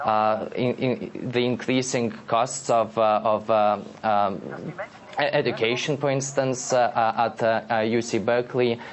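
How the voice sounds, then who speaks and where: Over noticeable background noise, a man with a medium pitch speaks very slowly, his intonation fairly even and his loudness very even. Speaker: blogger. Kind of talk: live TV interview answer. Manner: hesitant, stammering with many pauses.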